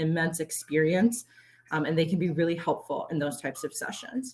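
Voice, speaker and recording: A woman speaks with a fairly low, somewhat breathy voice. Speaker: conference presenter. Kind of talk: conference presentation. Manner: fast.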